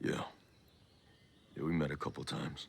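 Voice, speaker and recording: Putting on a character voice, a man speaks at a fairly quick pace in a raspy, very deep, low pitch. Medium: video game. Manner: terse, low-key.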